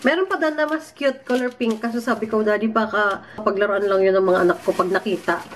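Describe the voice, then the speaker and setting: A woman speaks fairly quickly at a fairly high pitch with lively intonation and hardly any pauses. Her loudness stays very even over noticeable background noise. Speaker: vlogger. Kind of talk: casual vlog. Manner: soft-spoken.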